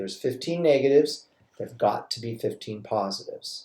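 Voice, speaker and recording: Somewhat breathy and dark, mellow in tone, a man talks at a moderate pace with ordinary pitch variation. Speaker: chemistry teacher. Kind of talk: recorded lecture tutorial. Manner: halting, self-correcting.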